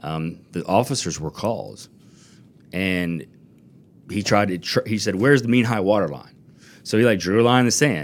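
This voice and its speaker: With an American accent and an unremarkable speaking voice, a man talks at a fairly quick pace in a fairly low pitch, his pitch varying in an ordinary way, on a very clean recording with a silent background. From US South, Florida Panhandle (Fort Walton Beach). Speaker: attorney. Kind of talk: casual interview. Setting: studio.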